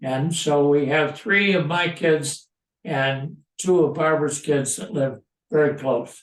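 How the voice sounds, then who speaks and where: Speaking at a very slow pace, a man uses a fairly high pitch with ordinary pitch variation. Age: 90s. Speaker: elderly man sharing memories. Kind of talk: casual chat. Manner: halting.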